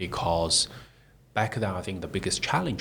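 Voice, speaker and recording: This man has a very deep, low-pitched voice. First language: not English. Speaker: tech startup CEO. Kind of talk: interview. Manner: halting.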